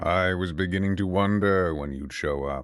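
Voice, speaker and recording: Someone uses a put-on character voice at a moderate pace against a quiet background. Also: man. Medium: read story. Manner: calm, cold, unafraid.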